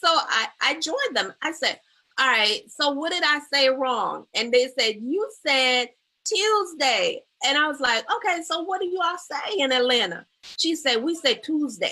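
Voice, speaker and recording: A woman's raised, projected voice with an American accent, high in pitch and bright and sharp in tone, animated, with very wide pitch swings at a fairly slow pace. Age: 50s. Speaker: therapist and talk show host. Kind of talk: live talk show interview. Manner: animated storytelling.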